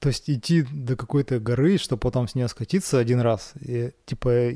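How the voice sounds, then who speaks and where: A man at medium pitch with a dark, mellow tone, in a very clean recording with a silent background. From Perm region, Russia. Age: 30s. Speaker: product designer. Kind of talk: casual chat. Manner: halting.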